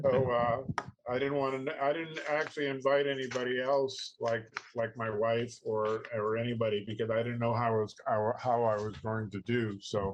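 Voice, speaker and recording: Amid noticeable background noise, a man with an American accent speaks at a moderate pace in a medium pitch with fairly even intonation. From US Northeast, Boston area. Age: 70s. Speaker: scuba dive instructor. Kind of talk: casual interview chat. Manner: halting.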